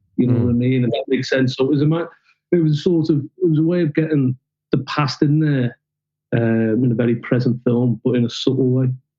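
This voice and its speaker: A man with a Liverpool accent, medium-pitched, with very even loudness, fairly even intonation and a fairly quick pace. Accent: Liverpool (Scouse). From Liverpool, England. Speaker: documentary filmmaker. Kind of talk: podcast interview answer.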